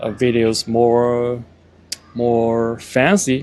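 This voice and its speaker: A man speaks with a Chinese accent at a very slow pace. His intonation is fairly even, and background noise is noticeable. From China. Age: 40s. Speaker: vlogger. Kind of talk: casual vlog monologue. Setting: outdoors by parked cars. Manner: halting, many fillers.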